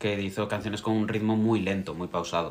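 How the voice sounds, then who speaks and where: In a very clean recording with a silent background, a man speaks at a moderate pace in a fairly low, monotone voice with flat intonation. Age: 30s. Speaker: podcast co-host, drag performer. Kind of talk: casual chat. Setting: live stream recording.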